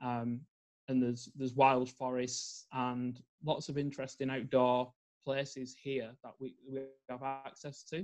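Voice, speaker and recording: Speaking fairly slowly with a Northern English accent, a man holds a medium pitch in monotone, flat intonation. His loudness swings widely. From northern England. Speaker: environmental psychologist and life coach. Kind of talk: podcast interview.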